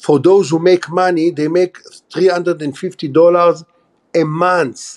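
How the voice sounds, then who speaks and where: Speaking in an Israeli accent, a man with a high pitch talks fairly slowly in a monotone, flat intonation. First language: Hebrew. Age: 60s. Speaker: former army officer. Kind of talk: interview.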